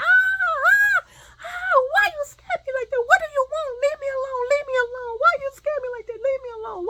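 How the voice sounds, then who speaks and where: Shouting at a moderate pace, a female-sounding voice puts on a character voice at an extremely high pitch. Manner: screaming in fright, pleading.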